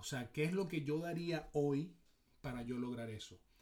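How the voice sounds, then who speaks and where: A somewhat breathy man's voice at a fairly high pitch, with a fairly slow pace and ordinary pitch variation. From Venezuela. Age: 40s. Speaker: sports psychology coach. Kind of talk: casual chat.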